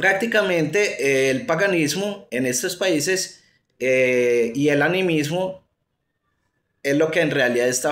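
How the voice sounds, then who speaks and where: A man's fairly high voice with an Antioquia accent, very slow and lively in intonation, with audible room echo. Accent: Colombian paisa (Antioquia). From Colombia, Antioquia. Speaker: atheism YouTuber. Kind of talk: commentary monologue. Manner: halting, many fillers.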